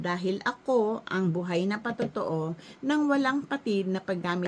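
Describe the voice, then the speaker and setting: A woman's medium-pitched, normal speaking voice, with lively intonation and a fairly slow pace. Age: 60s. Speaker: health product promoter. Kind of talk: sales pitch.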